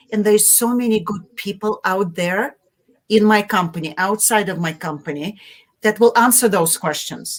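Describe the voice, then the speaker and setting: At a medium pitch and with ordinary pitch variation, a woman speaks with a Russian accent. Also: moderate pace. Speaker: marketing executive. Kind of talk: interview. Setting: live video stream.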